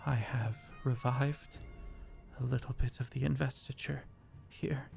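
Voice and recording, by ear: A man's strained, put-on character voice at a medium pitch, moderate pace and ordinary pitch variation, with clear music in the background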